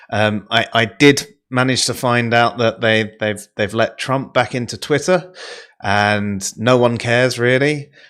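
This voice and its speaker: A man delivers his words fairly slowly, his pitch varying in an ordinary way. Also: medium pitch for a man. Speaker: online talk show co-host. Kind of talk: casual chat. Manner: loud.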